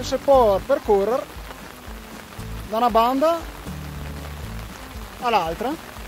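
With a Trentino accent, a man talks at a very slow pace with long, frequent pauses, his extremely high pitch showing ordinary variation over a dry, echo-free sound and clear background music. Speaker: travel vlogger. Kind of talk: casual travel vlog talk to camera. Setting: outdoors in rain. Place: waterside. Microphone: phone near.

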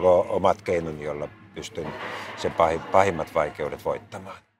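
With background music playing, a man talks at a moderate pace. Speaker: politician. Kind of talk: interview answer. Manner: repeats words to get going.

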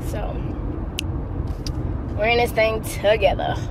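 Background noise is clearly present. A woman speaks slowly at a fairly high pitch, with ordinary pitch variation.

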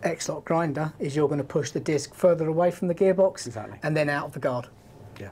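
With a British accent, a woman talks at a very deep, low pitch with ordinary pitch variation over light background noise. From UK. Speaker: power tool product trainer. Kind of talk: live stream product demo. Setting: studio live stream. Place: studio. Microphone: lapel.

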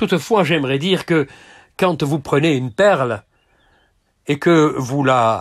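Against a quiet background, a man speaks in a fairly high voice. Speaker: preacher. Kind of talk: sermon. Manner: formal, didactic, steady teaching pace; earnest, gently exhorting. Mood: calm, earnest.

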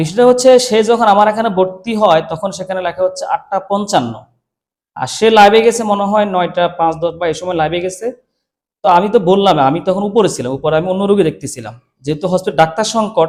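This man's high-pitched voice shows ordinary pitch variation. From Bangladesh, Kabirhat (Noakhali). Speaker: doctor. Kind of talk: interview statement explaining an incident.

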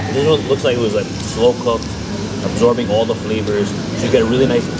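Loud background noise surrounds the recording. A man talks at a very fast pace. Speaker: food vlogger. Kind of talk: casual food review vlog. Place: cafe. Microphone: phone near.

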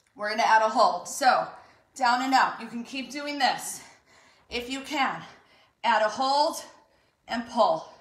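With long, frequent pauses, a woman speaks in a high pitch while audible room echo surrounds her. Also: ordinary pitch variation. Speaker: fitness instructor. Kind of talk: workout instruction and counting. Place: home room. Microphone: camera far.

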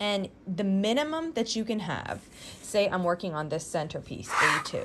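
Fairly slow speech from a woman, light background noise behind her. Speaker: quilting tutorial host. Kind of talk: tutorial. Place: home room.

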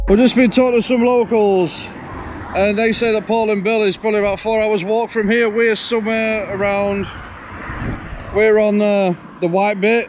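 Monotone, flat intonation at a moderate pace, with long, frequent pauses and light background noise. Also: man, high pitch for a man. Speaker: travel vlogger. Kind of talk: casual travel vlog talk to camera. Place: open country. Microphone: phone near.

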